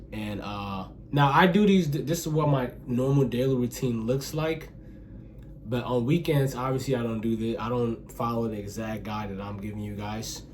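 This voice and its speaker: Audible room echo around speech at a moderate pace, pitch varying in an ordinary way. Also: man. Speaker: self-improvement vlogger. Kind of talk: casual talk to camera. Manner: halting, self-admitted stuttering; casual, filler-heavy.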